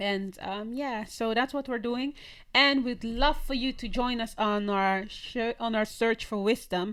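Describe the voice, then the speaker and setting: Fairly slow, fairly high-pitched speech from a woman with a Dutch accent. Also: fairly even intonation. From Netherlands. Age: young. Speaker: podcast co-host. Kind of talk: casual chat. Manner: halting.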